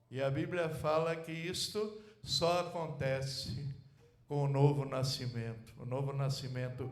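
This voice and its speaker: Audible room echo mixes with noticeable background noise throughout. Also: man. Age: 70s. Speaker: pastor. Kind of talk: sermon. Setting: church.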